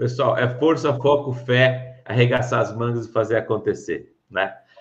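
Speaking rather slowly, this voice carries some breathiness. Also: man. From Brazil, São Paulo interior (Pirassununga). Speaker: podcast host, former police officer. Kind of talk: interview.

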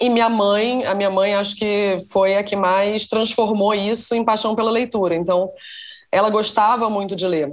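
Speaking at a moderate pace, a woman uses a plain, everyday voice at a medium pitch, with fairly even intonation and very even loudness. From Rio de Janeiro, Brazil. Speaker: writer and screenwriter. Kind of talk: interview conversation.

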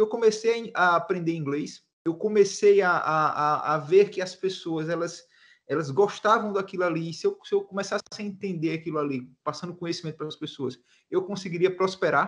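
A man talks at a moderate pace with a high pitch. His pitch variation is ordinary and the background quiet. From Brazil, Alagoas (Northeast). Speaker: marketing mentor and entrepreneur. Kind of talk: interview conversation.

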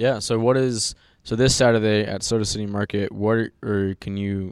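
A man with a fairly low pitch and an American accent talks in a monotone, flat intonation on a very clean recording with a silent background. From US South. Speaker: podcast host. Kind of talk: casual chat.

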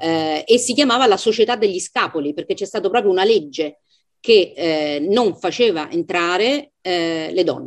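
Using an ordinary speaking voice, a woman speaks at a moderate pace with lively intonation. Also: medium pitch for a woman. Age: 50s. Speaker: literary translator and professor. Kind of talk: book club discussion. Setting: video call.

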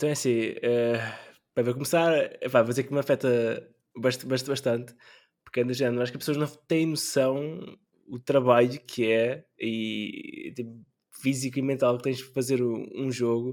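In a plain, everyday voice, a man speaks at a moderate pace with a medium pitch and fairly even intonation. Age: 20s. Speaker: game designer and PhD student. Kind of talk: casual chat.

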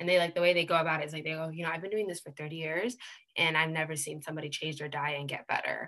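A woman's very deep, low voice with a bright, sharp tone, a General American accent and a very fast pace. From US West Coast, Seattle. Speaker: health coach trainee, consultant. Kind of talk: casual interview chat. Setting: video call, across the pond.

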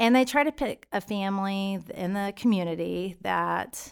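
A Texan accent on a very clean recording with a silent background. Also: woman. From Texas, Stephenville. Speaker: school parent volunteer. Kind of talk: interview.

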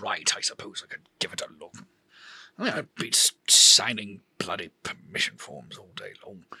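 A man puts on a raspy character voice, talking at a moderate pace. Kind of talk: learned, lecturing speech. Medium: actual play.

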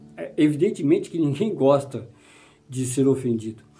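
A dark, mellow, somewhat breathy voice moves through very wide pitch swings, with audible room echo around it. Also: man. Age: 50s. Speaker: pastor. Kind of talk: sermon.

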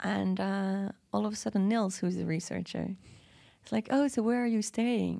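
Speaking at a moderate pace with a Dutch accent, a woman is heard on a very clean recording with a silent background. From Belgium, Antwerp. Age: 30s. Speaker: podcast guest. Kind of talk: casual chat.

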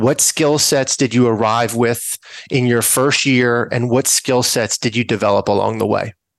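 In a normal speaking voice, a man with medium pitch talks at a fairly slow pace, the sound dry and close with no echo. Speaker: podcast host, investor. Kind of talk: interview conversation.

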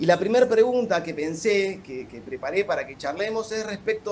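A man with a Rioplatense accent and a high-pitched voice talks at a moderate pace, with noticeable noise in the background. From La Plata, Buenos Aires province. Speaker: lawyer. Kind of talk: casual chat with formal questions.

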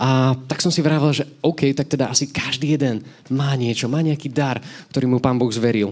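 An unremarkable speaking voice at a moderate pace, with fairly even intonation and very even loudness. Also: man, medium pitch for a man. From Slovakia, Nové Zámky. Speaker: lay preacher. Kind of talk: sermon.

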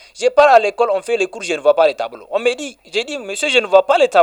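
The sound is dry and close with no echo as a man delivers his words at a fairly quick pace. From Niger (Balayara). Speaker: Islamic healer and NGO director. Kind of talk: radio interview. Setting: on location.

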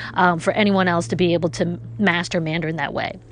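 A woman speaks with a New York accent. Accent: New York American English. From New York City. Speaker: podcast host, caller. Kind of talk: recorded call-in message.

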